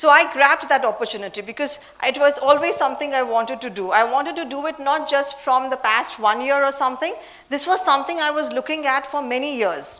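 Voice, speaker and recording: Talking at a very fast pace, a woman uses a high voice with ordinary pitch variation. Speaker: leadership speaker and CEO.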